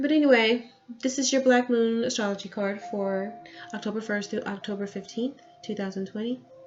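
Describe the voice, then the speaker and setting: A woman talks in a fairly high voice whose pitch varies in an ordinary way, while music plays in the background. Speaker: tarot reader. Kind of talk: tarot reading. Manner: whispering.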